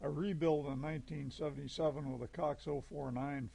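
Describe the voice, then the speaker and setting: A man talks at a moderate pace with ordinary pitch variation. His tone is dark and mellow, and somewhat breathy. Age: 70s. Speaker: model airplane hobbyist. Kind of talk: scripted narration.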